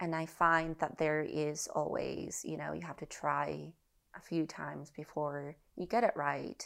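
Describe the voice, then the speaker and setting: With a Spanish accent, a woman speaks at a fairly slow pace on a very clean recording with a silent background. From Mexico, central (north of Mexico City). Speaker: visual artist and curator. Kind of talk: casual interview conversation.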